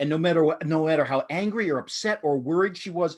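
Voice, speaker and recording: This man's intonation is lively and his speed moderate, set against a quiet background. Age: 50s. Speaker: podcast host. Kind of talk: casual chat.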